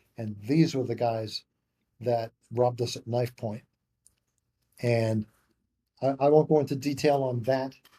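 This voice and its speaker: A man with medium pitch and a dark, mellow tone sounds somewhat breathy. He speaks at a fairly slow pace with fairly even intonation and long, frequent pauses. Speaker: memoir co-author. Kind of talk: storytelling interview. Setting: podcast interview. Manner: casual, halting with repetitions.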